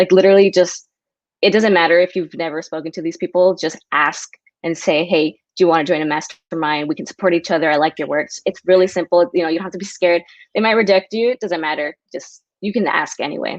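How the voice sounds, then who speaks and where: A very fast, fairly low-pitched woman's voice with an American accent and fairly even intonation over a quiet background. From US, San Diego. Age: 20s. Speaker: writer. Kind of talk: casual interview chat. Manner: casual, many fillers.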